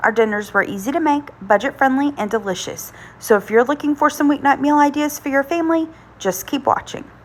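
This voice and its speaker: A woman's high voice at a fairly quick pace, lively in intonation, with noticeable background noise. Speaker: home cook, cooking channel host. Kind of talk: casual cooking voiceover.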